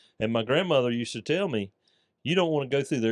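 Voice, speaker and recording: A man with a Southern US accent talks at a very fast pace. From US South, north Florida (Putnam County). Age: 60s. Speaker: small business owner, carpet cleaner. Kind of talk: casual interview chat.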